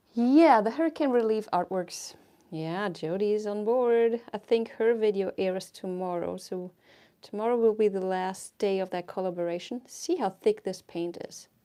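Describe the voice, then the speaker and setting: Speaking with a non-native accent, a woman uses a medium pitch, ordinary pitch variation and a dark, mellow tone at a moderate pace. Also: big swings in loudness. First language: not English. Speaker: fluid art painter and teacher. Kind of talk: live painting tutorial and chat. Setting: livestream. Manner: casual, chatty with hesitations.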